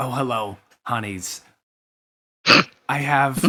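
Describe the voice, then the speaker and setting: This is a put-on character voice with a raspy sound. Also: man, medium pitch for a man. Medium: actual play. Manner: warm, chatty.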